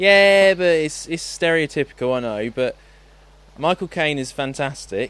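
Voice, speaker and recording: With a plain, everyday voice, a man speaks fairly slowly at a fairly high pitch with lively intonation over a quiet background. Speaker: podcast host. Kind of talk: casual chat.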